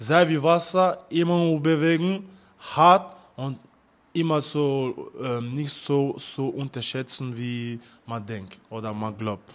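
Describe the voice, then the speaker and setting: With a French accent, a man speaks at a very slow pace, his fairly high pitch carrying lively intonation. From France, Paris suburbs. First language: French (speaking German). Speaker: amateur fighter. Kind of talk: interview.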